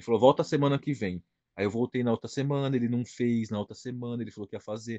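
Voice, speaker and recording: Over a quiet background, a man talks at a very fast pace in a medium voice with ordinary pitch variation, the sound dry and close with no echo. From interior of São Paulo state, Brazil (São José do Rio Preto). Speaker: heavily tattooed body-modification personality. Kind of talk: casual interview.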